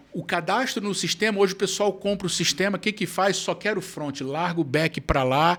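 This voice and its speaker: This man speaks with a high pitch, ordinary pitch variation and a strong Rio accent. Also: very clean recording, silent background. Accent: Carioca (Rio) accent, kept strongly. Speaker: foodservice consultant. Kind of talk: podcast interview. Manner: casual, animated.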